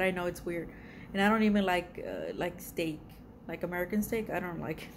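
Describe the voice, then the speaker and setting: Speaking at a fairly quick pace with a Spanish accent, a woman holds a medium pitch and a monotone, flat intonation. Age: 40s. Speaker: art YouTuber. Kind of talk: casual vlog self-introduction. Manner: hesitant, many fillers.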